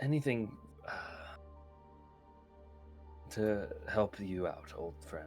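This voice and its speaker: Over clear background music, a man in a put-on character voice speaks very slowly at a fairly low pitch, sounding strained, with very wide pitch swings and long, frequent pauses. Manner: pained, strained.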